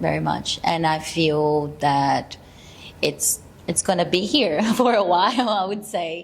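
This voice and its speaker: With a Brazilian accent, a woman speaks at a fairly slow pace in a fairly low pitch, using lively intonation. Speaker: actor. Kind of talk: casual chat. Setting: studio. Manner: halting.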